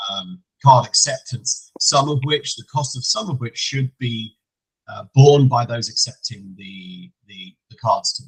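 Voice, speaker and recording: Using lively intonation and big swings in loudness, a man with an English accent speaks at a medium pitch and fairly slow pace in a somewhat breathy voice. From England. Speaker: payments compliance executive. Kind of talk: educational webinar presentation. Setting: online call.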